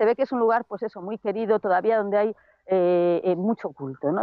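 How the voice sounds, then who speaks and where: A woman speaks at a fairly quick pace with ordinary pitch variation. The sound is dry with no echo over a quiet background. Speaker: field reporter. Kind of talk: on-location report. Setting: outdoors, remote video link. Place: open country. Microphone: earbuds.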